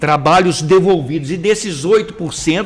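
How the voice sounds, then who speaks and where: Speaking at a moderate pace, a man with a high-pitched voice sounds animated. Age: 60s. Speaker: journalist and web show co-host. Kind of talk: casual chat. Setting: live stream.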